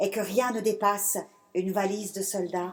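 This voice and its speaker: A woman speaks at a fairly slow pace in a medium pitch, her intonation monotone and flat. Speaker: poet. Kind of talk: poetry reading. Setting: stage with audience. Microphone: speaking without microphone.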